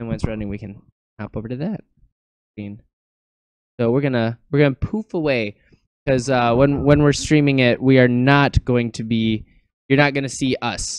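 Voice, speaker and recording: At a moderate pace, a man with an animated tone and medium pitch shows ordinary pitch variation and big swings in loudness, leaving long, frequent pauses, in a dry, close sound with no echo. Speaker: gaming streamer. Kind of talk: casual livestream gameplay chat. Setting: livestream with headphones.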